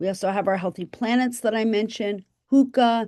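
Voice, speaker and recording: In a quiet background, a woman speaks in a plain, everyday voice, fairly high in pitch, with fairly even intonation. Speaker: professor and researcher. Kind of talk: webinar presentation.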